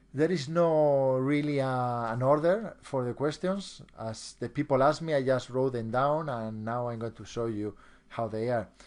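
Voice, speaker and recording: Over a quiet background, a man with a Spanish accent talks fairly slowly at a medium pitch with lively intonation. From Spain. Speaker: hypnotist and trainer. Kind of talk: online seminar presentation. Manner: halting, with many repeated words.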